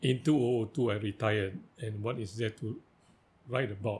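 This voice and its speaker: A man with a fairly low, somewhat breathy voice keeps a moderate pace and fairly even intonation. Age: 80s+. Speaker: writer. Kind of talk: interview.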